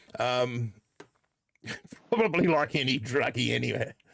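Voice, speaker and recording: A man's intonation is lively as he talks with an Australian accent. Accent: put-on Australian accent this season. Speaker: gaming streamer. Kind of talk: live stream chat. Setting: live stream. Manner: halting.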